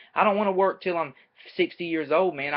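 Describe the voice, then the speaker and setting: A man with a Southern US accent, talking at a very fast pace. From US South, North Carolina. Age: 20s. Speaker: amateur MMA fighter and student. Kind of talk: casual webcam vlog. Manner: casual, energetic.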